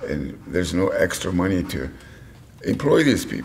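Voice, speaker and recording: Clear background noise behind a man at a medium tempo. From Pine Ridge Reservation, South Dakota. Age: 60s. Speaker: reservation resident. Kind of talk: documentary interview. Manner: impassioned.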